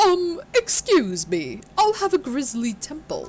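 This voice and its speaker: In a put-on character voice pitched high, the speaker talks at a fairly slow pace. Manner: cute, polite, sweet.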